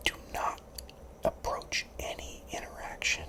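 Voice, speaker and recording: Noticeable background noise sits beneath a whisper that moves at a fairly slow pace. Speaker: law-related content creator. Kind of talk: ASMR whisper talk to camera giving career advice. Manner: whispered, soft-spoken.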